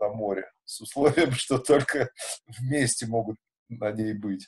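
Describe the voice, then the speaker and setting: Somewhat breathy and very slow, a man speaks with ordinary pitch variation. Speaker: musician and festival organizer. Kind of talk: casual interview.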